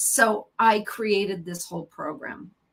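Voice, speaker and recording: A woman's somewhat breathy voice. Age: 50s. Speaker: psychotherapist. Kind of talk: interview.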